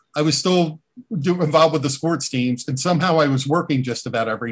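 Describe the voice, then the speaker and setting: A man with a somewhat breathy, fairly high voice speaks at a fairly quick pace with ordinary pitch variation against a quiet background. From New Jersey, Jersey Shore. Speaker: interview guest, former team staffer. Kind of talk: casual interview. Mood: reminiscing, warm. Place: home room. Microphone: video call.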